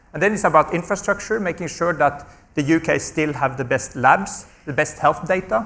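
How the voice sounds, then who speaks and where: With a Norwegian accent, a man speaks in a fairly high pitch and a bright, sharp tone. He keeps a moderate pace and ordinary pitch variation. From Norway. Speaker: health research charity executive. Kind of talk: panel discussion. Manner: repetitive stammering on small words.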